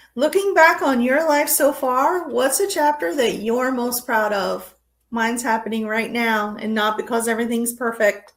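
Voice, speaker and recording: The speaker keeps a relaxed tone and moderate pace, with lively intonation. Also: woman, high pitch for a woman. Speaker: podcast host. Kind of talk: unscripted memoir podcast talk. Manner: relaxed, conversational.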